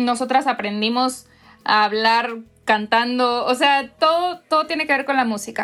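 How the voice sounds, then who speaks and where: The speech moves at a fairly slow pace with ordinary pitch variation, and music plays in the background. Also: woman, high pitch for a woman. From Monterrey, northern Mexico. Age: 20s. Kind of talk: interview.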